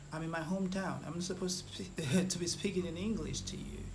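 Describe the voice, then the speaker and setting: A Nigerian accent amid noticeable background noise and audible room echo. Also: man. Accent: Nigerian Igbo English. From Nigeria, Igbo area. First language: Igbo. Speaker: food vlogger. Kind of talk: vlog commentary. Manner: halting, repeats words.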